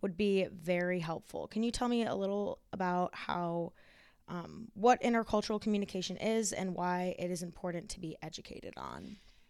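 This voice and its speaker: A woman with an American accent, an unremarkable speaking voice at a medium pitch, moderate pace and fairly even intonation, very clean recording with a silent background. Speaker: student podcast host. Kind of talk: interview.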